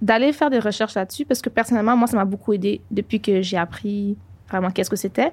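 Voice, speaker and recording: Speaking at a very fast pace, a woman uses a medium pitch with ordinary pitch variation. Her voice is somewhat breathy and very even in loudness. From Montreal, Quebec. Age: 20s. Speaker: podcast co-host. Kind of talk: casual chat.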